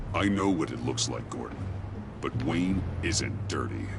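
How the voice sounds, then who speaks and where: A man puts on a character voice, very deep and low in pitch. He speaks at a moderate pace over loud background noise. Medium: machinima. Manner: terse, low and grave.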